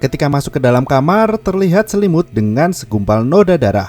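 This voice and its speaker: Over music in the background, a man with a fairly high pitch swings his voice very widely, and the sound is dry and close with no echo. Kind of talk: film plot recap narration.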